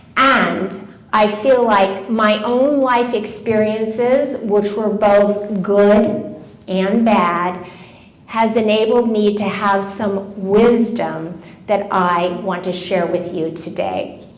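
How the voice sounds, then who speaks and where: Speaking very slowly, a woman uses a medium pitch. Noticeable background noise and audible room echo fill the recording. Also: fairly even intonation. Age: 70s. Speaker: wellness speaker. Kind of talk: talk to a live audience. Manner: conversational.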